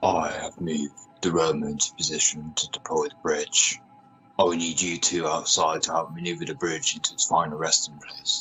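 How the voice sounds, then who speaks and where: Clear music plays in the background as a man puts on a character voice. His pitch is very deep and low, and his intonation is fairly even. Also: moderate pace. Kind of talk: radio drama.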